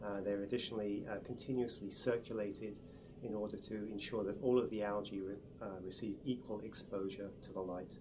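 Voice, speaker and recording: Amid audible room echo, a man with an English accent talks at a fairly quick pace in a fairly low pitch, his dark, mellow tone delivered in a monotone, flat intonation. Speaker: research chemist, group leader. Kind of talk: interview explanation. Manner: hesitant with fillers.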